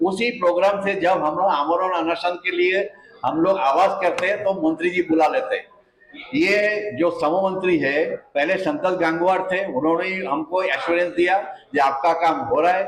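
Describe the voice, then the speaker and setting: Over noticeable background noise, a man speaks with a high pitch, ordinary pitch variation and very even loudness. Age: 70s. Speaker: retired pensioner activist. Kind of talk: press conference statement. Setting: press conference. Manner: impassioned.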